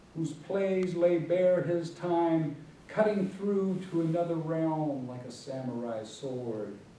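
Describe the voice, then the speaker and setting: A man at a high pitch with lively intonation, speaking at a very slow pace amid noticeable background noise. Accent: American. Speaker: poet. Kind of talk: poetry reading. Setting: church hall, live audience.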